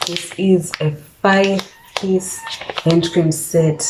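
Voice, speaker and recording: Against noticeable background noise, a woman speaks with a fairly low pitch in a monotone, flat way. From Zimbabwe. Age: 20s. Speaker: lifestyle vlogger. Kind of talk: casual vlog talk to camera.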